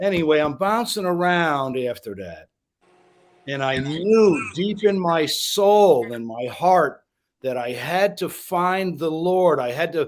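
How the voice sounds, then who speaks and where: A man's high-pitched voice at a very slow pace, with lively intonation. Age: 60s. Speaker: Marine Corps veteran. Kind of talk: casual chat. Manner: halting.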